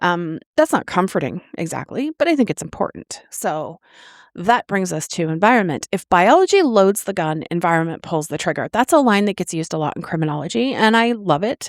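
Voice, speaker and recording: A woman speaks at a fairly quick pace in an ordinary speaking voice, her medium pitch carried by lively intonation, on a very clean recording with a silent background and a dry, close sound with no echo. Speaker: author and podcast host. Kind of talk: podcast talk. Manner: casual, conversational, with fillers.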